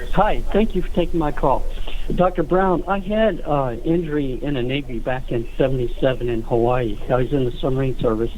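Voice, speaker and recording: Speaking fast-ish at a fairly quick pace, a man with a fairly high pitch uses lively intonation amid audible room echo. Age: 60s. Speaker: caller, navy veteran. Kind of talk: call-in question. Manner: halting, many fillers.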